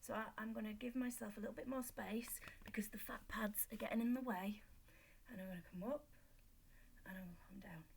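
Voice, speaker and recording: A somewhat breathy woman with a Yorkshire accent speaks at a fairly quick pace and fairly high pitch with ordinary pitch variation. Her speech has long, frequent pauses and big swings in loudness. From Yorkshire, northern England. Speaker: fitness instructor. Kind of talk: exercise tutorial. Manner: casual, chatty.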